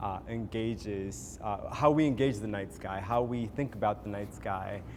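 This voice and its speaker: A man with an Ethiopian accent speaks amid audible room echo. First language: Amharic. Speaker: visual artist. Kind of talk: panel discussion. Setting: gallery event with audience. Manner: halting, many fillers and repetitions.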